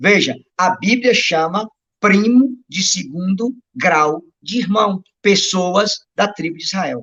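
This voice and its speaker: A man speaks at a high pitch and very slow pace, with lively intonation. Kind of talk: Bible teaching on a livestream. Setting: live stream.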